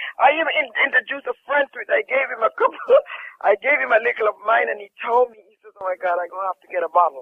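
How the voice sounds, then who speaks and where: A man speaks very fast in a Jamaican accent. His loudness swings widely. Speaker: caller, hotel worker giving a testimonial. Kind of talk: testimony.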